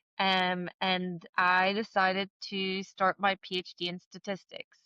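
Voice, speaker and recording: A woman with an American accent speaks at a medium pitch in a bright, sharp tone, her intonation monotone and flat, the sound dry and close with no echo. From South Africa. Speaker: entrepreneur. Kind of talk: interview.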